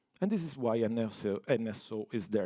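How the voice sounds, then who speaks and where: On a very clean recording with a silent background and a dry, close sound with no echo, a man with an Italian accent speaks in a dark, mellow tone at medium pitch. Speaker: network automation engineer. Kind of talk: technical conference talk.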